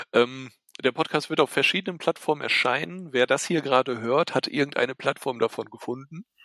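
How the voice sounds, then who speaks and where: A man speaks in a bright, sharp tone with ordinary pitch variation. The sound is dry and close, with no echo. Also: fairly high pitch for a man. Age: 30s. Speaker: podcast host. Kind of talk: casual chat.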